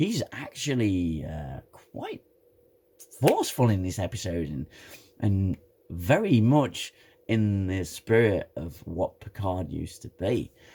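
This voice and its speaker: Over music in the background, a man speaks at a very slow pace with big swings in loudness. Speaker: TV show reviewer. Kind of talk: casual talk to camera.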